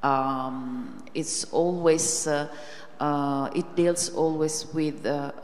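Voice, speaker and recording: With an Italian accent, a woman speaks in a very deep, low voice with fairly even intonation. There is noticeable background noise. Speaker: university lecturer and moderator. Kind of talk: moderated public conversation. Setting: university hall with audience. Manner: halting.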